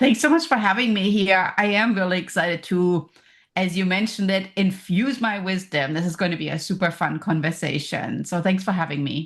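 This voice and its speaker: With a German accent, a woman speaks in an energetic tone at a fairly quick pace. Her voice is somewhat breathy. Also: medium pitch for a woman, ordinary pitch variation. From Germany. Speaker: professor and business coach. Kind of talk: podcast interview.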